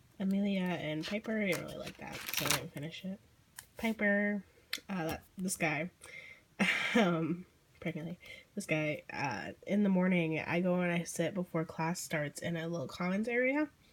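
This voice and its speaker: A woman with an American accent talks at a fairly low pitch with ordinary pitch variation. Noticeable background noise is present. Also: moderate pace. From Southern United States. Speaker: artist. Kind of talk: casual talk to camera.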